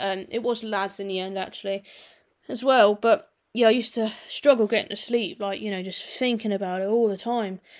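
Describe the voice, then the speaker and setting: A woman with an English accent, fairly high in pitch, at a fairly quick pace with fairly even intonation. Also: very clean recording, silent background. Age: 20s. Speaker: automotive youtuber. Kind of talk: casual solo podcast monologue. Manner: hesitant, many fillers.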